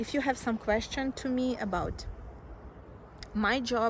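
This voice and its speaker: A woman speaks with a Russian accent. Her pace is fairly slow and her intonation fairly even. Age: 20s. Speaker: nail technician, video creator. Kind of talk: casual self-introduction vlog. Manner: halting, many fillers.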